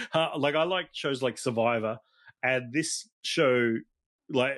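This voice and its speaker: A man with an Australian accent, fairly high in pitch with ordinary pitch variation, against a quiet background. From Australia (South Australia, NSW, Tasmania). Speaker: toy collector and photographer. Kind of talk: casual chat. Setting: studio.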